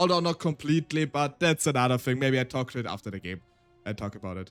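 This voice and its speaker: A man with a German accent, music in the background. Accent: German-speaking. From Austria. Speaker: vtuber streamer and storyteller. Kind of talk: casual live-stream chat. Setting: live stream.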